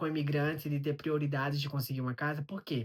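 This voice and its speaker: This man's voice carries some breathiness. It sits fairly high. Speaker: immigrant vlogger. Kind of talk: vlog monologue. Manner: conversational.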